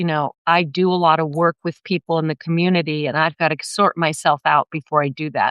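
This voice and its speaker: With a normal speaking voice, a woman talks at a fairly quick pace, her fairly low pitch following a fairly even intonation. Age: 60s. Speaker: therapist and spiritual wellness teacher. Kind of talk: casual interview.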